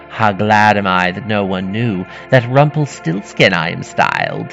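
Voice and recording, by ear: Over faint background music, a man performs a put-on character voice at a fairly low pitch and fairly slow pace, with a fairly bright tone, vocal fry and big pitch swings.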